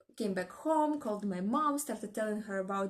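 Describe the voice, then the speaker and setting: The speaker has a non-native accent and ordinary pitch variation. The pace is fairly quick. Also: woman. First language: not English. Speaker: book vlogger. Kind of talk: casual vlog chat.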